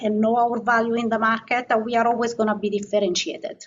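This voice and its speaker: This woman speaks with a non-native accent. Her pitch sits fairly high. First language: not English. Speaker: asset management executive. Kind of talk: interview.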